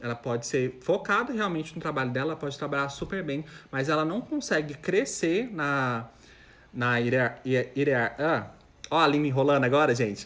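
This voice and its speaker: This man has a normal speaking voice, fairly high in pitch with ordinary variation, and he speaks at a moderate pace. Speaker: chef. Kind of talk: live stream Q&A. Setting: live stream with camera at home.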